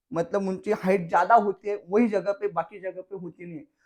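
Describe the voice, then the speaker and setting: A man with a Marathi accent speaks at a high pitch. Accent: Marathi-accented Hindi. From Maharashtra, Jalgaon. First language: Marathi (speaking Hindi). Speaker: farmer. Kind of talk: farming tutorial video. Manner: casual, conversational.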